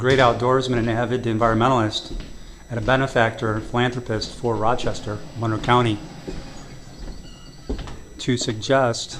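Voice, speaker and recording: A man of medium pitch speaks in a flat monotone at a moderate pace, with long, frequent pauses and noticeable background noise. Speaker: local activist opposing a wind project. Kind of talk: casual walkthrough commentary to camera.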